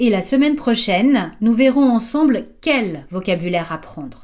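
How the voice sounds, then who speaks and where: Speaking at a fairly slow pace, a woman has a slight French accent. Her pitch is fairly high and her intonation lively. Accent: slight French accent when speaking English. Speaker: English teacher for children. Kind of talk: tutorial. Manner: clear, didactic.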